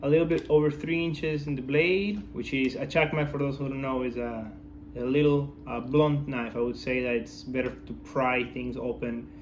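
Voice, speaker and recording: With a non-native accent, a man at medium pitch speaks at a moderate pace with ordinary pitch variation and audible room echo. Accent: foreign. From outside the US. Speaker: knife enthusiast. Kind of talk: product review. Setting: filmed by his wife. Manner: hesitant, many fillers.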